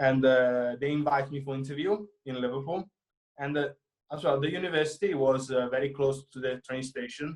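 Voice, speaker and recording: In an Italian accent, a man speaks at a fairly quick pace. His pitch is fairly high and his intonation fairly even. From Italy, near Florence. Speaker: film student. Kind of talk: interview. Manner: halting, many fillers.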